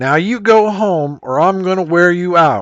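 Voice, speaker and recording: Using a put-on character voice, a man speaks at a high pitch and a moderate pace in a raised, projected voice. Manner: stern, threatening.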